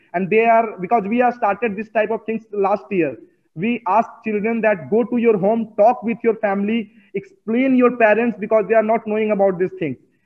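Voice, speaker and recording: Speaking at a moderate pace, a man with a high-pitched voice keeps his intonation fairly even. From India (Bihar, Bodhgaya). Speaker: climate activist and dance teacher. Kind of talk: interview. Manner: repetitive, halting non-native phrasing.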